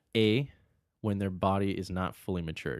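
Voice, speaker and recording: In a very clean recording with a silent background, a man with an American accent speaks at a fairly low pitch with fairly even intonation. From Arizona. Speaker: natural bodybuilder. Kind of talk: casual chat.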